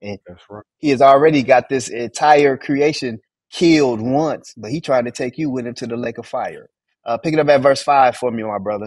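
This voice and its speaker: An American-accented man speaks in an animated tone at a moderate pace, with ordinary pitch variation and big swings in loudness. The sound is dry with no echo, and the background is quiet. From US Southwest, Phoenix. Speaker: Bible study teacher. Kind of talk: Bible study teaching. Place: home room. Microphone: video call.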